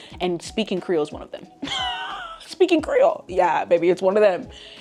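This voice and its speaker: Music plays in the background as a woman talks at a fairly quick pace, with big swings in loudness and long, frequent pauses. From US, Haitian-American family. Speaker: lifestyle vlogger. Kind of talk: casual chat. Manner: animated.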